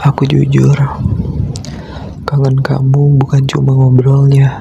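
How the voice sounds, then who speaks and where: Very slow, monotone delivery with flat intonation and noticeable background noise. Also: man. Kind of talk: ASMR boyfriend roleplay sleep call. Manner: slow, intimate.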